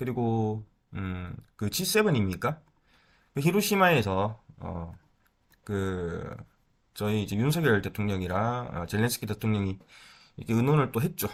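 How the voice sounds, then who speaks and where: A man's fairly low voice with lively intonation, a fairly slow pace and long, frequent pauses, on a very clean recording with a silent background. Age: 30s. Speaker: stock market YouTuber. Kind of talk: casual market commentary. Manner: hesitant, filler-heavy.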